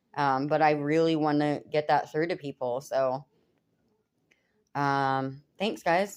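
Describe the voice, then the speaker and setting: A woman's very deep, low voice, very slow, with fairly even intonation and long, frequent pauses. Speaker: backyard gardening vlogger. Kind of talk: casual chat. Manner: sarcastic-sounding.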